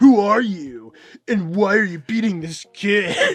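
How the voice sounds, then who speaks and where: In a put-on character voice, the speaker goes at a fairly slow pace with a fairly high pitch. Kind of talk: chad-like bravado. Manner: pretentious, swaggering.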